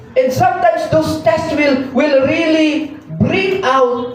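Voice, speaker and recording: A man with an extremely high pitch and ordinary pitch variation, at a very slow pace, with noticeable background noise and audible room echo. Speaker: lay preacher. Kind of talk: sermon. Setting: church.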